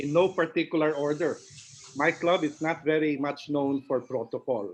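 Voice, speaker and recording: A man speaks in a fairly high voice with a Filipino accent. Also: ordinary pitch variation, moderate pace. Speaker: past club president. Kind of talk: member introductions. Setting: video call.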